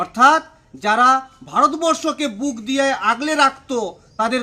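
A man's raised, projected voice, extremely high in pitch, with ordinary pitch variation. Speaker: local party politician. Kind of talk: political statement to press. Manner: emphatic.

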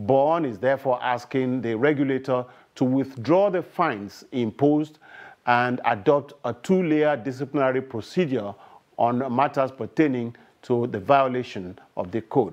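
Moderate pace and ordinary pitch variation against a quiet background. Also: man. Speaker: news anchor. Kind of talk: news reading. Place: studio. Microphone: lapel.

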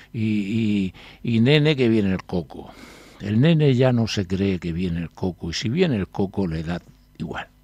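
In a dry recording with no echo, a man with a fairly low pitch and a dark, mellow tone talks at a fairly slow pace with lively intonation. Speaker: newspaper columnist. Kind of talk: reading aloud an article and discussing it. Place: studio.

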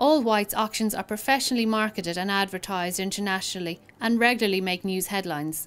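Over music in the background, a woman speaks at a medium pitch and a moderate pace with ordinary pitch variation. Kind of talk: corporate promotional narration explaining an auction house's selling steps. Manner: clear, professional, measured.

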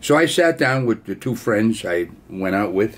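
This man's pitch is fairly low and swings very widely. He talks at a moderate pace. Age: 80s+. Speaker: war veteran. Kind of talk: storytelling. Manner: casual. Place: home room. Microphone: webcam.

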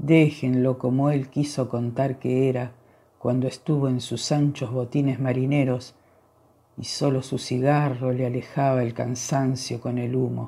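The recording is very clean, and the background is silent. Speech proceeds at a fairly slow pace. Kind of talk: poetry reading, solemn elegiac verse read aloud. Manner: slow, measured, contemplative with pauses; somber, plaintive, emotionally charged.

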